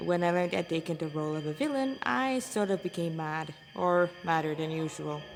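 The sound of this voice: Vocal fry from a woman with a fairly low pitch, at a moderate pace. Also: ordinary pitch variation.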